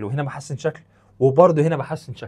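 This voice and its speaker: A man's somewhat breathy, fairly high voice in a Cairo accent, animated in tone, against a quiet background. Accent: Egyptian Arabic (Cairene). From Egypt. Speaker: chemistry teacher. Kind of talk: lecture. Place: studio. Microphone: lapel.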